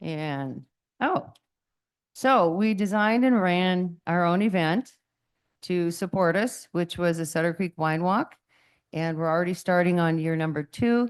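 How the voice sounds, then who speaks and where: At a fairly slow pace, a woman with a fairly low pitch speaks using ordinary pitch variation. She leaves long, frequent pauses, and the background is quiet. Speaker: visitor center representative. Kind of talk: public presentation at council meeting. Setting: city council meeting. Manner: loud.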